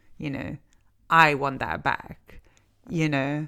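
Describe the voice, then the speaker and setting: Speaking at a fairly slow pace, a woman talks with an Italian accent. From Italy. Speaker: counsellor and podcast host. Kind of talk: podcast monologue. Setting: studio. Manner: conversational, with many fillers.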